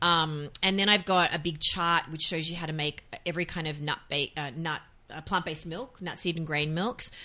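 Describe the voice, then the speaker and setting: A woman with an Australian accent speaks at a fairly quick pace, her pitch very deep and low and her intonation fairly even. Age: 40s. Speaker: author and voiceover artist. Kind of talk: interview.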